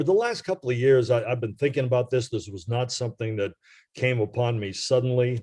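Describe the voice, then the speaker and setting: Over a quiet background, a man speaks at a fairly quick pace and medium pitch. His voice is somewhat breathy. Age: 70s. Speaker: retired baseball radio reporter. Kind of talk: podcast interview. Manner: hesitant, many fillers.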